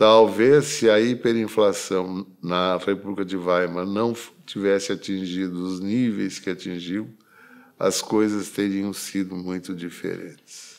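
A man speaks very slowly at a fairly low pitch. His intonation is fairly even, and the background is quiet. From Rio Grande do Sul, Brazil (Caxias do Sul); Rio Grande do Sul, Brazil. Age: 70s. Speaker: retired federal appellate judge. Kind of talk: oral history interview. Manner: formal. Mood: calm, reflective. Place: office.

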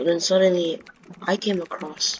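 A man with a high-pitched voice talks at a moderate pace while noticeable background noise carries on. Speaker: gaming YouTuber. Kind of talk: casual gaming video talk.

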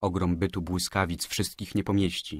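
With a very deep, low pitch, a man speaks in a solemn, dramatic tone and a monotone, flat intonation on a very clean recording with a silent background. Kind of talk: literary audiobook reading of a poem. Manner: solemn, dramatic, slow declamation; grave, tragic, intoned like a prayer.

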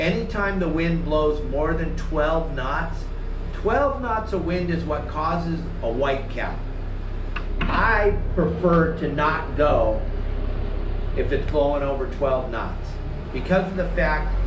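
A man speaking very slowly with long, frequent pauses over noticeable background noise. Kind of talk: tutorial. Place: street. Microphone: camera far.

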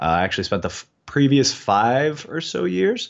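The background stays quiet while a man talks. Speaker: remote podcast guest. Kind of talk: interview answer. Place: home room. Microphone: earbuds.

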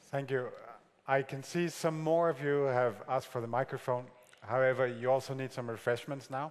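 This man talks at a moderate pace with fairly even intonation. He has an ordinary speaking voice. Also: medium pitch for a man. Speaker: conference moderator. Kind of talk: moderating, thanking speaker, Q&A. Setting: conference hall with audience. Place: hall.

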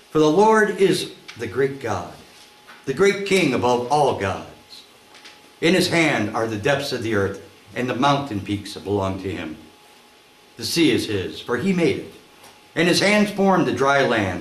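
A man at a fairly slow pace, with long, frequent pauses and audible room echo. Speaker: pastor reading scripture. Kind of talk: scripture reading.

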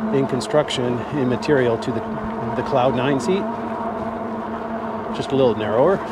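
A man at a moderate pace in a dry sound with no echo, against loud background noise. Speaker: e-bike reviewer. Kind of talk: casual ride-along review commentary. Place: bicycle. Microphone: camera far.

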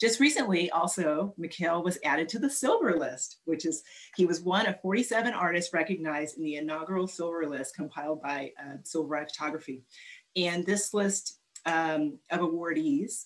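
A woman with a plain, everyday voice speaks with lively intonation. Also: fairly low pitch for a woman, moderate pace. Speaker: arts organization board president. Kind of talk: formal introduction. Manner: warm, welcoming.

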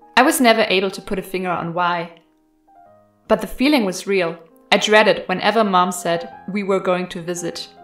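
A woman's voice with big swings in loudness over music in the background. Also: medium pitch for a woman, ordinary pitch variation, moderate pace. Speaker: horror story narrator. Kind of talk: horror story narration.

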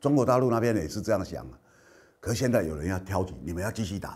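A man speaks at a fairly quick pace with vocal fry. His pitch swings very widely. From Kinmen, Taiwan; Taiwan. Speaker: political commentator and show host; political commentator, show host. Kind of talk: news commentary monologue. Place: studio. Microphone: lapel.

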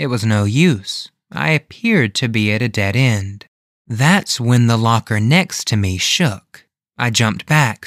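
The recording has an unforced reading voice and a quiet background.

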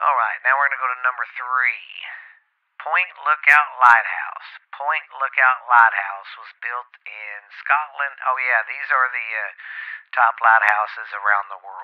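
With a Southern US accent, a man talks fairly slowly at medium pitch, showing ordinary pitch variation and big swings in loudness. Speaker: podcast host. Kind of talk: reading aloud. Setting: home. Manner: halting.

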